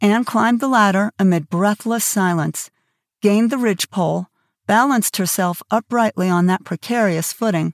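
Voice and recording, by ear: A natural voice reading aloud, ordinary pitch variation, quiet surroundings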